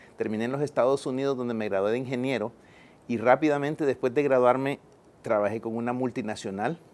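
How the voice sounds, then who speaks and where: A man's medium-pitched voice rushes along very fast, its intonation fairly even. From El Salvador. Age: 50s. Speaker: engineer and poet. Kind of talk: interview. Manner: hesitant, with fillers.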